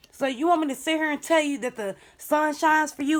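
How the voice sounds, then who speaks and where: A woman talks in an animated tone. Her pace is moderate. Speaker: tarot reader. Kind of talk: tarot reading.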